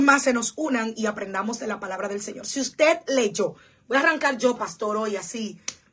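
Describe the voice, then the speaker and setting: Here a woman speaks in an animated tone at a moderate pace. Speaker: pastor. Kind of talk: livestream Bible study. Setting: church livestream.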